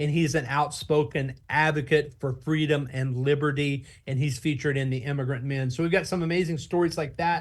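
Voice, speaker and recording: A somewhat breathy man with an American accent, fairly high-pitched, fairly quick, fairly even in intonation, against a quiet background. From Oklahoma, USA. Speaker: nonprofit founder and book publisher. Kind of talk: interview answer.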